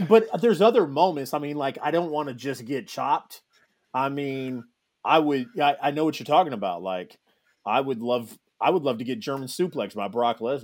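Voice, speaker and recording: At a moderate pace, a man speaks with a fairly high pitch that swings very widely. The recording is very clean, with a silent background. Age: 30s. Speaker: podcast host. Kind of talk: casual chat.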